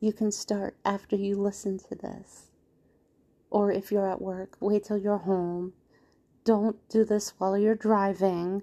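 A woman speaks in a gentle, dark, mellow tone. Her intonation is monotone and flat, and her pace is fairly slow. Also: medium pitch for a woman. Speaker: spiritual podcast host. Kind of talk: casual instructional monologue. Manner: gentle, calming.

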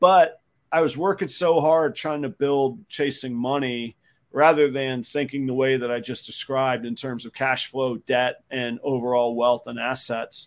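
With an American accent, this man talks in a medium pitch with ordinary pitch variation and a plain, everyday voice. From Jacksonville, Florida. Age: 40s. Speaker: reptile breeder. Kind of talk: casual chat. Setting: home garage.

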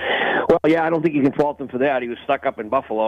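With noticeable background noise, a man talks at a very fast pace with ordinary pitch variation. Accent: Boston. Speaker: college hockey color commentator. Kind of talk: radio interview analysis.

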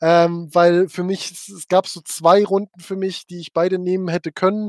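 Dry and close with no echo, a man's high-pitched voice moves at a moderate pace in a monotone, flat intonation. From Switzerland, Frauenfeld. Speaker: battle rap podcast co-host. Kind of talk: casual chat. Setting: livestream.

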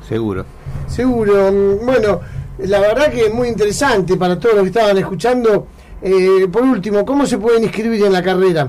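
A man with an Argentine accent speaks at a fairly quick pace in a high pitch, with ordinary pitch variation, very even loudness and noticeable background noise. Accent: Rioplatense Argentine Spanish. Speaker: radio host. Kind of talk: radio interview.

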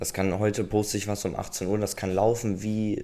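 Here a man uses an unremarkable speaking voice, fairly low in pitch, at a moderate pace. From Lower Saxony, Germany (Obernkirchen). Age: 20s. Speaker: camera operator and photographer. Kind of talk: casual interview.

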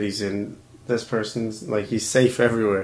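A man's medium-pitched voice, flat and monotone in intonation. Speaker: podcast host. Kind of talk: casual chat.

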